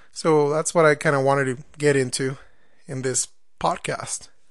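The speaker talks at a moderate pace. The voice comes with a Spanish accent. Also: man. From Mexico. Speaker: podcast host. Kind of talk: podcast monologue. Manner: halting, with fillers.

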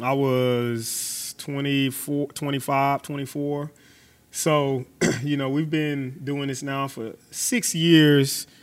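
At a very slow pace, a man with an American accent speaks at a fairly high pitch on a very clean recording with a silent background. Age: 30s. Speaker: podcast host, strength coach. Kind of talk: casual interview. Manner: animated.

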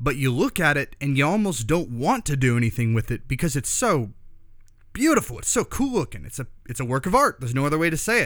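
On a very clean recording with a silent background, a man with a normal speaking voice talks at a fairly quick pace, fairly high-pitched, with lively intonation. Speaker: podcast host. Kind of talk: casual interview. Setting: in a knife shop.

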